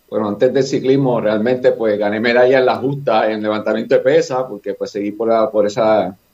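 A man with a Puerto Rican accent talks at a fairly quick pace and medium pitch, in a monotone, flat intonation with hardly any pauses. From Puerto Rico, Fajardo area. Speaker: running coach and former athlete. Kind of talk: casual podcast chat.

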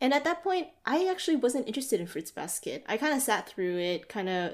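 On a very clean recording with a silent background, an ordinary speaking voice moves at a fairly quick pace with lively intonation. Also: woman. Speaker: podcast co-host. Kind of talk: casual chat.

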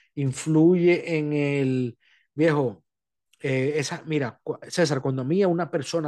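This is a plain, everyday voice with fairly even intonation. The background is quiet. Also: man. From Dominican Republic. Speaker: podcast host, Uber driver. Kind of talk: casual chat.

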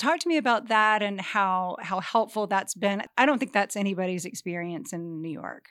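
With a plain, everyday voice, a woman talks at a moderate pace and medium pitch, with lively intonation and hardly any pauses, in a very clean recording with a silent background. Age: 50s. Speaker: podcast host. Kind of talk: interview.

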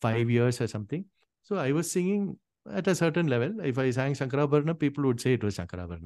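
With an Indian accent, a man speaks at a fairly quick pace with a fairly high pitch and lively intonation. The background is quiet. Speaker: Carnatic singer and veena player. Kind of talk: casual interview conversation.

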